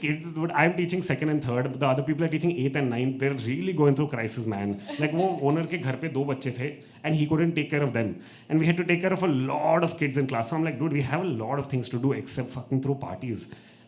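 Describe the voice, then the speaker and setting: A man with an Indian accent talks at a very fast pace, his pitch fairly high with ordinary variation. His tone is animated, and there is audible room echo. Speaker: open mic host and comedian. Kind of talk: stand-up storytelling. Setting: stage with audience.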